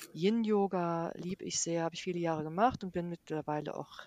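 A woman with a normal speaking voice talks at a fairly low pitch with fairly even intonation. The sound is dry and close with no echo, and the background is quiet. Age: 50s. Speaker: yoga and mindfulness teacher. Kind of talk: interview. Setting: remote recording, partly re-recorded by herself.

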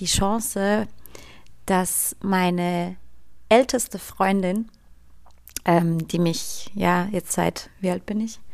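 A woman speaks at a very slow pace with medium pitch and fairly even intonation. Her speech has long, frequent pauses. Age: 30s. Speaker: podcast host, yoga teacher and doula. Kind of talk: casual interview chat; scripted outro.

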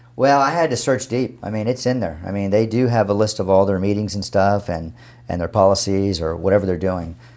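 This is a man with an ordinary speaking voice, fairly low in pitch, talking at a fairly quick pace with ordinary pitch variation. The recording is very clean and the background silent. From Texas (San Antonio). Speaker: dentist. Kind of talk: interview.

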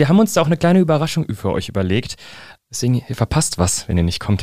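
A man talks at a fairly high pitch. His pace is very fast. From central Hesse, Germany (Fernwald near Gießen). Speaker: singer-songwriter. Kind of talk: interview.

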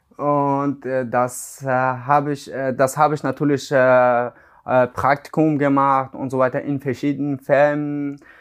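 The man has a fairly high pitch and a monotone, flat intonation. He speaks at a fairly slow pace against a quiet background. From Iran, Afghan family. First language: Dari/Persian (speaking German). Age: 20s. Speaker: car body mechanic. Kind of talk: interview. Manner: halting, many fillers.

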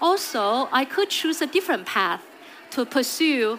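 Speaking at a fairly slow pace with a Chinese accent, a woman uses a high pitch and lively intonation. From China. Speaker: HR executive. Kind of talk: conference talk. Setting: stage with audience.

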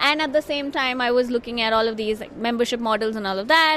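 Here a woman speaks with a high pitch and lively intonation. Noticeable background noise runs underneath. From India. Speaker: media program officer and marketing manager. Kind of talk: interview. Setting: journalism festival venue.

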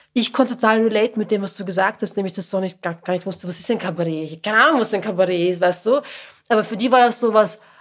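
Her pace is very fast. This woman speaks at a medium pitch. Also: ordinary pitch variation. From Lower Austria, working-class town. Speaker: podcast host, journalist. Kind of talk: casual chat.

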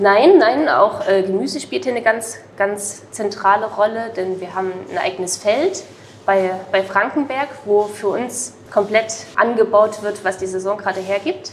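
A woman speaks at a medium pitch with ordinary pitch variation. Her fairly slow delivery comes through noticeable background noise. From Saxony, Ore Mountains (Erzgebirge). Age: 20s. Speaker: chef. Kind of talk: interview. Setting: restaurant.

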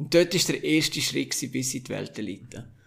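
A man with a Graubünden accent, fairly high in pitch, at a moderate pace. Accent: Swiss German (Graubünden). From Switzerland, Engadin (St. Moritz). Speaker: former ski jumper. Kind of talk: interview.

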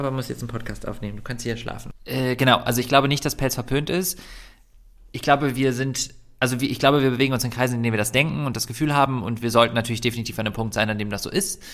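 At a very fast pace, a man speaks in a medium pitch with ordinary variation. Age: 30s. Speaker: vegan activist and YouTuber, former doctor. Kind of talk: casual interview.

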